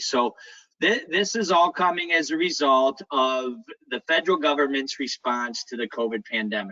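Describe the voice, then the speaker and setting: His intonation is lively. The man's pitch is medium. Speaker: nonprofit executive. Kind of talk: policy briefing at virtual town hall. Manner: fast.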